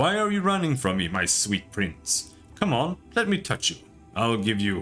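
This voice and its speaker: A man's put-on character voice, raspy and menacing, medium-pitched with very wide pitch swings, at a moderate pace over clear music in the background. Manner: sweetly menacing.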